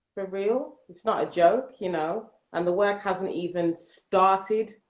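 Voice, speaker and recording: With a London accent, a woman speaks at a fairly slow pace, her loudness swinging widely and her pitch varying in an ordinary way. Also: medium pitch for a woman. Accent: London English (Multicultural London English). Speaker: nursery manager. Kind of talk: casual chat. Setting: Instagram Live video stream.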